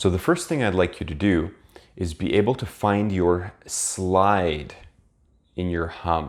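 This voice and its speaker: With a very deep, low pitch and ordinary pitch variation, a man talks at a fairly slow pace on a very clean recording with a silent background. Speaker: piano teacher. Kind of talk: tutorial. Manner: instructive.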